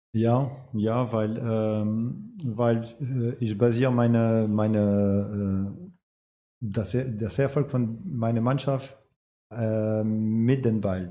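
Very slowly, a man talks at a medium pitch with ordinary pitch variation and a dark, mellow tone, with audible room echo. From France. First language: French (speaking German). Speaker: amateur football coach. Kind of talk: casual interview.

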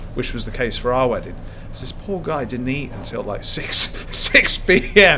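The speaker has a southern English accent and lively intonation. The pace is moderate, with noticeable background noise behind it. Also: man. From England, Cheltenham. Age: 30s. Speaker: professional squash player. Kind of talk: casual interview chat.

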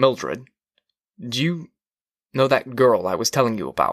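A man puts on a character voice at medium pitch with a fairly bright tone. He goes at a fairly slow pace with big pitch swings.

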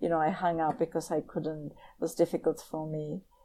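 In a very clean recording with a silent background, a woman with a Czech accent speaks in a fairly low, monotone voice with flat intonation. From Czech Republic, Prague. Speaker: professor. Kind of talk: interview.

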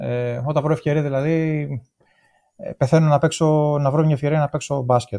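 At a moderate pace, a man speaks with a fairly high pitch, a dark, mellow tone and fairly even intonation. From Greece, Thessaloniki. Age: 40s. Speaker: amateur ultramarathon runner. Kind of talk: casual interview chat. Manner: halting, many hesitations.

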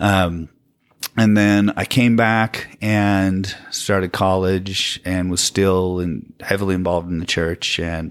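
At a very slow pace, a man speaks in a fairly low, monotone voice with flat intonation. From Utah County, Utah. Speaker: guest telling his story of leaving Mormonism. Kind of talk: casual interview chat. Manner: quiet talker, soft-spoken.

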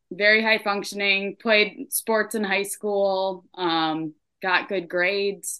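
A woman's very slow speech at a medium pitch, with an American accent and fairly even intonation. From upstate New York. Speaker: addiction aftercare specialist. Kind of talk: personal testimony in interview. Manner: hesitant, many fillers.

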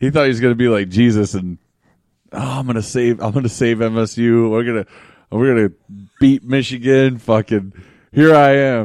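At a moderate pace broken by long, frequent pauses, a man with an American accent speaks at medium pitch with ordinary pitch variation. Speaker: podcast co-host. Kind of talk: casual banter. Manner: profane, joking.

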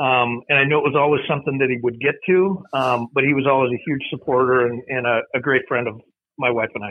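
A medium-pitched man with an Upper Midwest accent, speaking at a very fast pace. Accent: Upper Midwest (Minnesota). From Minnesota, Mankato. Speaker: college friend of late author. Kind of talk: casual chat. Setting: call.

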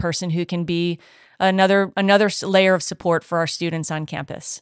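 A woman with an American accent talks at a fairly quick pace in an unremarkable speaking voice of medium pitch. Her intonation is fairly even, and the background is quiet. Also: dry, close sound with no echo. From US, southern New England. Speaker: head of upper school. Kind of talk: podcast interview.

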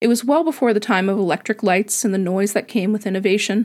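A woman's normal speaking voice at medium pitch, with ordinary pitch variation, a fairly quick pace and a very clean recording over a silent background. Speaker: podcast host and storyteller. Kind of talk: literary audiobook-style narration of a personal sci-fi story; scripted podcast monologue. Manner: soft, dreamy and descriptive.

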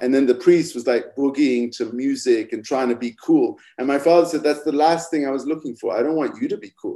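With an American accent, a man in a dark, mellow, fairly high voice speaks fairly quickly, with ordinary pitch variation and hardly any pauses. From England, Cambridge. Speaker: filmmaker guest. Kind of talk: casual interview chat.

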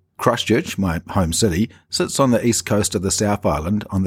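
A man with a New Zealand accent speaks at a moderate pace in a fairly low, somewhat breathy voice with ordinary pitch variation. The recording is very clean, with a silent background and a dry, close sound with no echo. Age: 40s. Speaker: podcaster sharing personal chronic pain story. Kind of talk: personal narration.

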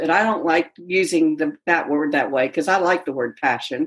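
A woman's normal speaking voice with an American accent, fairly low in pitch and lively in intonation. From Mississippi, US South. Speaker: yoga teacher and coach. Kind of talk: casual interview.

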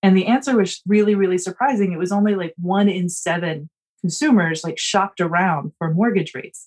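Dry and close with no echo, a woman's ordinary speaking voice carries an American accent and ordinary pitch variation. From US South, South Carolina (near Charleston). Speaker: attorney, housing finance policy expert. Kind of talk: interview.

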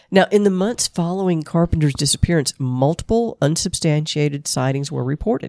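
The voice has a dark, mellow tone and a Southern US accent, recorded dry and close with no echo. It moves at a fairly quick pace with lively intonation. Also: woman, fairly low pitch for a woman. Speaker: podcast co-host. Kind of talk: casual chat, presenting case research.

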